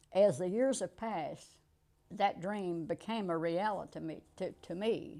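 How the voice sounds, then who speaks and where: A woman speaks with an American accent at a fairly slow pace. Her tone is dark and mellow. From rural US. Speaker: interviewee, retired manager. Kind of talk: interview.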